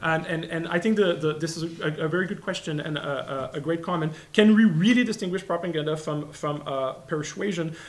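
A man with a Quebec accent talks at a fairly quick pace in a high pitch, with ordinary pitch variation. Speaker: postdoctoral researcher; presenter. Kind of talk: academic talk. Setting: seminar room with audience. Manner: fast talker. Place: classroom. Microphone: studio mic.

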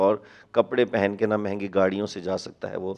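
At a moderate pace, a man talks with fairly low pitch in a plain, everyday voice. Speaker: pastor. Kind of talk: interview, sharing testimony and prayer. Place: studio. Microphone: handheld.

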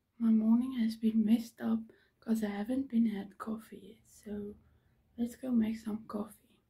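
Somewhat breathy, with a dark, mellow tone, the voice holds a monotone, flat intonation at a moderate pace while its loudness swings widely. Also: woman, fairly high pitch for a woman. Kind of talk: casual vlog talk to camera.

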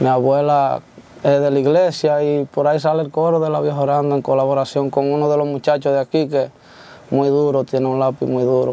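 A man speaks at a fairly quick pace with a fairly high pitch and monotone, flat intonation. His loudness stays very even, and the sound is dry with no echo. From Dominican Republic, Baní (Peravia); Dominican Republic. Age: young. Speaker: corrido singer; interviewee. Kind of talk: interview. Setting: studio. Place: studio.

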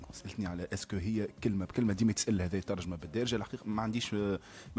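A man speaks very fast, his pitch varying in an ordinary way. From Tunisia. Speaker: translator and journalist; guest. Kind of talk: radio interview. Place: studio. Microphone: studio mic.

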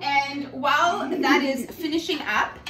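Over faint background noise, a woman speaks at a fairly slow pace in a high pitch, with a bright, sharp tone and fairly even intonation.

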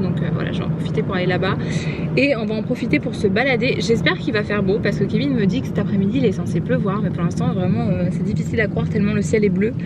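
Speech comes at a very fast pace over loud background noise. The sound is dry, with no echo. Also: woman. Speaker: vlogger. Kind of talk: casual vlog chat. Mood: cheerful, chatty. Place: car. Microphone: phone near.

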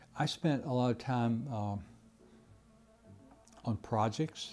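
An American accent over faint music in the background. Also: man. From Georgia, USA. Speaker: retired Air Force colonel, Vietnam War veteran and former prisoner of war. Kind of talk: interview answer. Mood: reflective, earnest. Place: office. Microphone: lapel.

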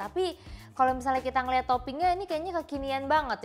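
Faint music sits in the background. Over it, a woman speaks at a very fast pace. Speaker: TV show host. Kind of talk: food review show presenting. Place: studio.

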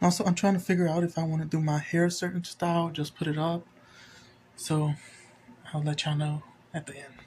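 High male voice in a flat monotone at a fairly quick pace, with light background noise. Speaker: vlogger. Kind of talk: casual vlog chat. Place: home room. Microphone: phone near.

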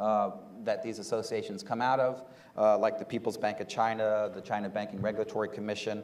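Speaking at a fairly quick pace, the man has a fairly low pitch. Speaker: political economy researcher; panel expert. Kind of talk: panel discussion. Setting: stage with audience. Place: hall. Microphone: lapel.

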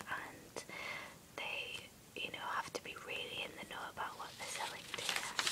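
The voice whispers at a moderate pace. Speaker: ASMR creator. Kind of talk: ASMR magazine flip-through with chatty commentary. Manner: whispered; soft-spoken. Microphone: phone near.

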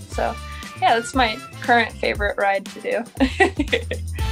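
A woman with clear music in the background. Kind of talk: interview answer. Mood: relaxed, laughing. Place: garage. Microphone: phone near.

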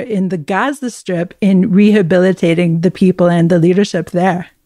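Her tone dark and mellow, a woman of medium pitch talks at a moderate pace with ordinary pitch variation. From North America. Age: 40s. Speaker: podcast host, news editor. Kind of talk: interview.

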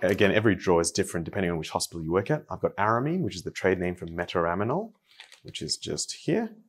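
Using a very deep, low pitch, a man speaks at a fairly quick pace. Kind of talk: tutorial. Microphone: phone near.

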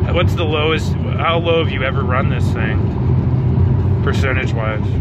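With loud noise in the background, the recording itself is dry and has no echo. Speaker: passenger asking the car owner questions. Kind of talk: casual conversation. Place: car. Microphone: phone near.

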